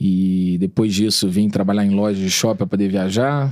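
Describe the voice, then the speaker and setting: Fairly low male pitch, an unremarkable speaking voice, moderate pace. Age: 30s. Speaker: entrepreneur. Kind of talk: podcast interview, casual storytelling.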